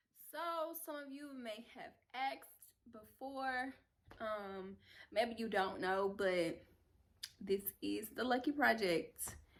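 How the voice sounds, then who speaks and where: A woman with an American accent and lively intonation, very slow and marked by long, frequent pauses. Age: 20s. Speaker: YouTuber, lifestyle vlogger. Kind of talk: casual vlog talk to camera. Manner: conversational, with fillers and restarts.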